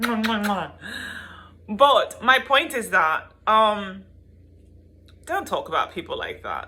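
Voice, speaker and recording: An animated tone at a fairly slow pace. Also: woman. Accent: South African. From South Africa. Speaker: YouTuber and tarot reader. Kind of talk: opinion vlog rant. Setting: home video with her son present.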